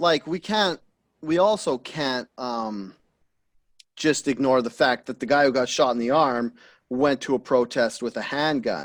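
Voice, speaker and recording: A man speaks in a plain, everyday voice at a medium pitch, with ordinary pitch variation. The recording is very clean and dry, close-miked with no echo and a silent background. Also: fairly slow pace. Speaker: podcast host. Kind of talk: casual podcast conversation.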